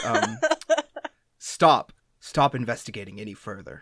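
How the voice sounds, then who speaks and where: A man puts on a raspy character voice at a medium pitch. His pace is moderate and his pitch varies in an ordinary way. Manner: commanding, eerie.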